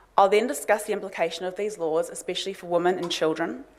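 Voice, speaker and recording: The speaker has a New Zealand accent. Pitch variation is ordinary. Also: woman. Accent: New Zealand accent, noticeable to Australians. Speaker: lawyer and think tank director, conference speaker. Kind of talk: conference talk. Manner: formal.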